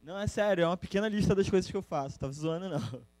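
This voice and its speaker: The speaker is a man. The background is quiet. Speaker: educator; presenter. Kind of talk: presentation. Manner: restless, informal. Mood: relaxed, joking. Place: classroom.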